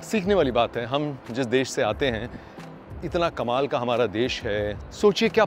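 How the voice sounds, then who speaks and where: A man with music in the background. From India. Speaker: voice artist. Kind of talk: casual travel vlog talk to camera. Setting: outdoors.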